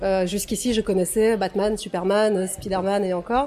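A woman at medium pitch talks at a moderate pace. She has an ordinary speaking voice and fairly even intonation. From Russia. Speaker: toy photographer. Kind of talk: casual interview.

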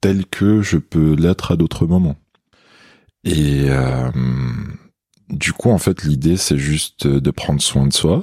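A man speaks very slowly in a very deep, low pitch, with long, frequent pauses, ordinary pitch variation and very even loudness. The sound is dry and close, with no echo. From Algeria, Kabylie (Béjaïa). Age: 20s. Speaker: massage therapist and hypnotherapist. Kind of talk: casual interview. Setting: massage practice room.

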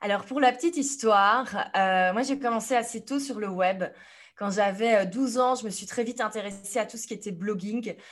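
An unremarkable speaking voice moves at a moderate pace, with big swings in loudness. The background is quiet. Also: woman, fairly high pitch for a woman, ordinary pitch variation. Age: 30s. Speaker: entrepreneur and online business coach. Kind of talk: podcast interview.

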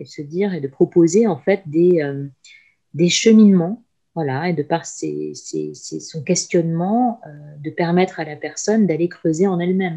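Slow-ish and fairly low in pitch, the woman speaks with a dark, mellow tone and ordinary pitch variation. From France and Lebanon. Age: 40s. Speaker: career coach and HR consultant. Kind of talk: interview.

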